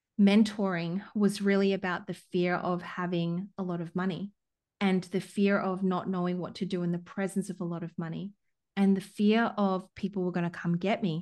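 A woman's monotone, flat delivery against a quiet background. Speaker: business coach. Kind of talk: interview conversation. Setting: LinkedIn live audio event.

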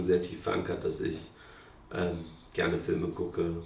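A man's voice carries audible room echo. Noticeable background noise sits behind him. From Berlin, Neukölln. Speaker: political candidate. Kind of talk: interview.

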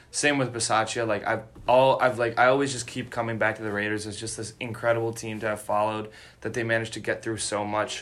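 A man delivers his words at a very fast pace. The intonation is monotone and flat. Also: medium pitch for a man. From Chicago area, US Midwest. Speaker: sports podcast host. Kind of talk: casual chat.

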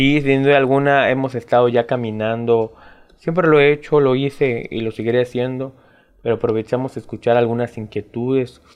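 Here is a man with a plain, everyday voice at a medium pitch. He speaks at a moderate pace with fairly even intonation. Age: 20s. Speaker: political candidate. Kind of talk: interview, campaign talk. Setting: studio.

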